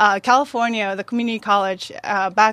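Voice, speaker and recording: A woman speaks at medium pitch in a dry, close sound with no echo. The recording is very clean, with a silent background. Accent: Japanese. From Japan. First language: Japanese. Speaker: chef. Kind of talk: casual chat.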